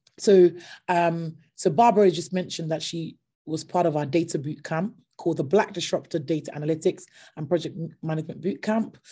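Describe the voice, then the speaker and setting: A somewhat breathy woman with a fairly low pitch, a dark, mellow tone and ordinary pitch variation, speaking at a fairly quick pace over a quiet background. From Nigeria and UK. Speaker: entrepreneur, company founder. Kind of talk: online talk. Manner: hesitant, many fillers. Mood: passionate, earnest. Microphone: video call.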